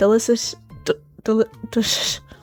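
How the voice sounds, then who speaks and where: A woman with a high-pitched voice speaks in an American accent. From US Midwest, Madison, Wisconsin. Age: 20s. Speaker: artist YouTuber. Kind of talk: casual Q&A voice-over. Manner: hesitant with filler ums.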